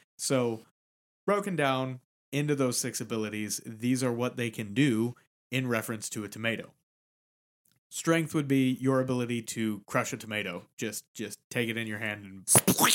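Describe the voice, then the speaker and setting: A normal speaking voice from a man, medium in pitch, with ordinary pitch variation at a moderate pace, on a very clean recording with a silent background. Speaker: podcast co-host. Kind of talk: casual chat about D&D, with a mock street-vendor pitch. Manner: playful, chiming in on the mock pitch with 'step right up'; conversational, explains rules clearly.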